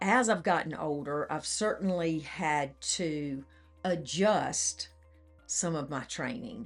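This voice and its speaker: Music plays in the background as a woman speaks very slowly with an American accent. Her pitch is fairly low and her intonation lively. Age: 60s. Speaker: patient, literacy coach and triathlete. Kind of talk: testimony.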